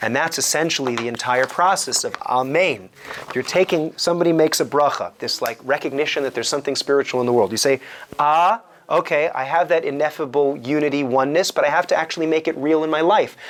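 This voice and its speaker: A man speaks at a very fast pace in a fairly high pitch. Noticeable background noise runs under the recording. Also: ordinary pitch variation. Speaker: rabbi teaching kabbalah. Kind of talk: lecture. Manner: halting.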